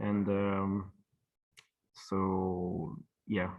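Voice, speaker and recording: With a French accent, a man talks at a fairly low pitch. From France. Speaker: traditional plasterer. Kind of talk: webinar presentation. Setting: online webinar. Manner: halting, many fillers.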